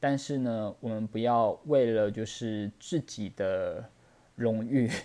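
This is a man speaking at a medium pitch. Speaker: podcast host, tarot reader. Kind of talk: solo podcast talk. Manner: hesitant, many fillers.

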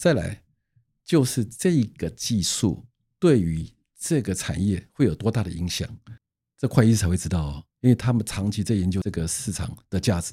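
Dark, mellow, somewhat breathy speech from a man, fairly low in pitch, with lively intonation at a moderate pace. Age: 60s. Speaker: patent attorney. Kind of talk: casual interview.

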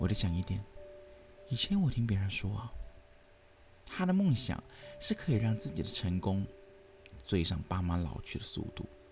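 A man speaks with long, frequent pauses. Noticeable background noise runs behind him. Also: moderate pace. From Hong Kong. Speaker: podcast host. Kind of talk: storytelling narration.

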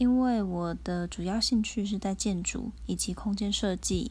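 A woman with a Taiwanese accent at a fairly slow pace. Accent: Taiwanese Mandarin. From Taiwan (Tainan). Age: 20s. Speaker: podcaster, architecture firm employee. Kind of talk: casual solo monologue. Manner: halting, with fillers.

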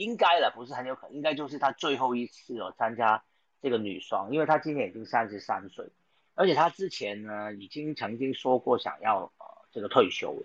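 At a fairly quick pace, a man with a plain, everyday voice speaks at a medium pitch, with lively intonation and big swings in loudness. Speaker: sports podcast host. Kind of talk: casual chat.

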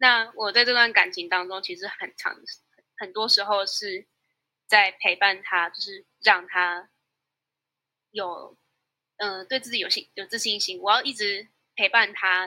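A woman with a Taiwanese accent speaks at a fairly slow pace at medium pitch, her bright, sharp tone carrying fairly even intonation, long, frequent pauses, and big swings in loudness. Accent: Taiwanese Mandarin. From Taiwan (Tainan). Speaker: university student. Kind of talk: interview.

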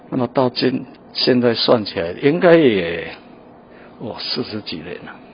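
Very slow, medium-pitched male speech with very wide pitch swings, set against noticeable background noise. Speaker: painter. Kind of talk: interview; gallery tour interview. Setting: art museum gallery. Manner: halting with many fillers.

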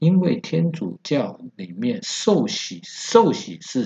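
A man's slow, very wide-swinging voice with vocal fry, at a very slow pace. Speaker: travel expert and history podcast host. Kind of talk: solo history narration. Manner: hesitant with many filler words.

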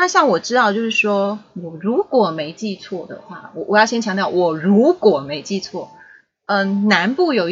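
With a Taiwanese accent, a woman speaks at a fairly slow pace and medium pitch with lively intonation. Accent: Taiwanese Mandarin. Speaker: pastor's child, podcast guest. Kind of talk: casual chat.

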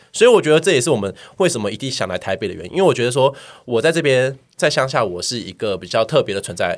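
A man at a very fast pace, with very wide pitch swings and big swings in loudness, on a very clean recording with a silent background. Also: medium pitch for a man. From Taiwan, Miaoli. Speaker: podcast guest. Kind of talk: casual chat.

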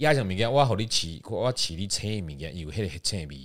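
The pitch swings very widely as the speaker moves at a fairly quick pace, captured on a very clean recording with a silent background. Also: man. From Taiwan, Yilan. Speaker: Taiwanese and English teacher. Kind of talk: casual chat.

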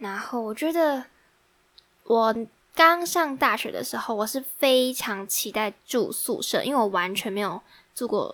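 At a fairly slow pace, a woman talks in a fairly high pitch. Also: lively intonation. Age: 20s. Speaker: podcast host, university student. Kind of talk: casual solo chat. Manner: animated.

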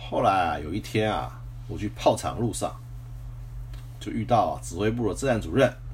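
Speaking at a moderate pace with long, frequent pauses, a man uses a very deep, low voice with vocal fry and very wide pitch swings. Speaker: retired military officer podcaster. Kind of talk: personal storytelling monologue. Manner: frequent filler particles and repetition.

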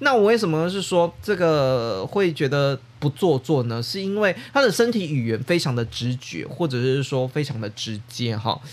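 The speech moves at a moderate pace with hardly any pauses and very wide pitch swings. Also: man, fairly high pitch for a man. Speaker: podcast host. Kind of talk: casual podcast monologue. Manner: casual, chatty, filler-heavy.

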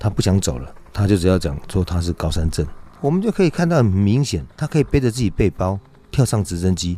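This man has a very deep, low pitch and lively intonation, and he talks at a fairly quick pace. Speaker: mountain rescue team leader. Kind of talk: interview.

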